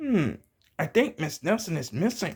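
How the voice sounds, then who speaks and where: A man performs a put-on character voice. It sits high in pitch and moves in very wide pitch swings. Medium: read story. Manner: slow, ponderous.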